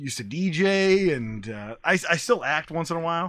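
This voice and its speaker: A man talks with an American accent and a plain, everyday voice. His intonation is lively and his pace moderate. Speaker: ring announcer and comedian. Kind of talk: interview answer.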